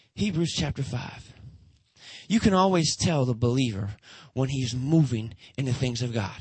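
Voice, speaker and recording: Moderate pace with an American accent, broken by long, frequent pauses. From US Midwest (Detroit). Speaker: guest preacher. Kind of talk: sermon. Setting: church. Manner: animated.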